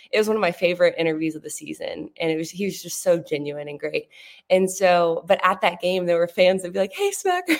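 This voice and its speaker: A woman's ordinary speaking voice, fairly low-pitched and fairly quick, with fairly even intonation and big swings in loudness. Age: 20s. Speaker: sports TV reporter, former college swimmer. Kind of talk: casual interview chat.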